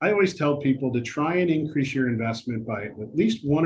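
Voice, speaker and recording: A man's somewhat breathy, medium-pitched voice with lively intonation. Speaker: investment adviser presenting a retirement webinar. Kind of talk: webinar presentation. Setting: webinar. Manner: fast.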